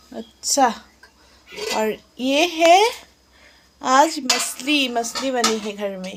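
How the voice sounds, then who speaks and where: Against noticeable background noise, a woman with an Assamese accent speaks in a high pitch with lively intonation and long, frequent pauses. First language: Assamese (speaking Hindi). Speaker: vlogger. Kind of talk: casual home vlog. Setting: at home. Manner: halting, self-correcting Hindi.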